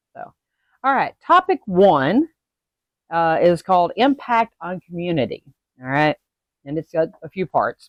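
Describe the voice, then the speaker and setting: A woman speaks with very wide pitch swings and long, frequent pauses. The sound is dry and close with no echo. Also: big swings in loudness. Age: 60s. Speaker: witchcraft educator, video creator. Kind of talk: casual talking-head video, answering questions. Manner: hesitant, many fillers.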